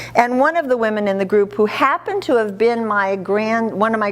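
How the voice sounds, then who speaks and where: There is noticeable background noise behind a woman at a medium pitch. She talks at a moderate pace with lively intonation. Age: 70s. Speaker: charity founder. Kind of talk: speech to an audience. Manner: animated.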